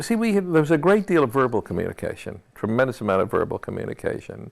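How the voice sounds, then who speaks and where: A man with an American accent speaks at a very fast pace, with vocal fry and very wide pitch swings. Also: fairly high pitch for a man. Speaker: film composer. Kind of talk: interview answer. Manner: conversational, reflective, with hesitations.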